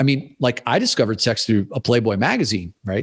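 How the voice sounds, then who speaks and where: Against a quiet background, a normal speaking voice moves at a fairly quick pace with ordinary pitch variation. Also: man. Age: 40s. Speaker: podcast host and men's coach. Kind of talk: casual chat.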